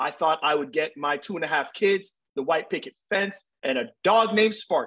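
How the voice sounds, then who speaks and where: A man speaks at a moderate pace against a quiet background. His tone is bright and sharp, with ordinary pitch variation. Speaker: interview guest. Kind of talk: interview answer. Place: home room. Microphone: video call.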